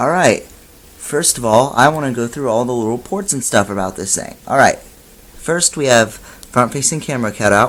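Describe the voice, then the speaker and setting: At a moderate pace and with hardly any pauses, a man with a medium pitch talks in an animated tone and lively intonation over noticeable background noise. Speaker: tech reviewer. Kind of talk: product review tutorial. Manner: trying to sound more animated.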